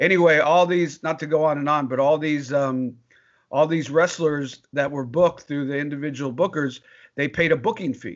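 This man has a fairly high pitch and an ordinary speaking voice, talking at a moderate pace with fairly even intonation. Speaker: former wrestling ring announcer. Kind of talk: casual interview.

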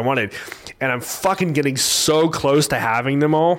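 Over noticeable background noise, a man speaks at a fairly quick pace in a fairly high pitch with ordinary pitch variation. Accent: American. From Oklahoma, Tulsa area. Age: 30s. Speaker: podcast host. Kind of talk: casual monologue.

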